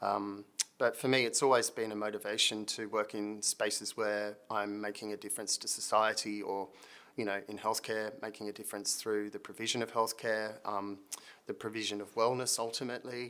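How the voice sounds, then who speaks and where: Bright, sharp tone marks this man's fairly low voice. He keeps a moderate pace with monotone, flat intonation. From Britain. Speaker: consulting firm managing director. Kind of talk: video introduction. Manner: hesitant, many fillers.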